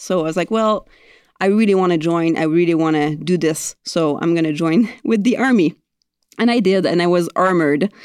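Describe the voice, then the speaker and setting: Against a quiet background, a woman speaks at a fairly low pitch in a strong Quebec accent. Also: ordinary pitch variation, moderate pace, very even loudness. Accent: thick Quebec French-accented English. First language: French. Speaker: air force officer and squadron commander. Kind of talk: interview. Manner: halting, frequent repetitions.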